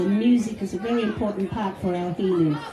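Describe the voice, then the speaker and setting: Crowd noise fills the background as a woman speaks at a moderate pace and medium pitch, with audible room echo. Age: old. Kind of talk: memorial tribute speech.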